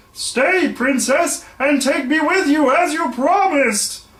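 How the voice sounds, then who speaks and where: A put-on character voice, high-pitched, at a fairly slow pace. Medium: read story. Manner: insistent.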